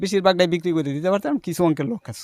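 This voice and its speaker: In a very clean recording with a silent background and a dry, close sound with no echo, a man talks in a plain, everyday voice with ordinary pitch variation. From Bangladesh, Netrokona district. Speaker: poultry farmer. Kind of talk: interview.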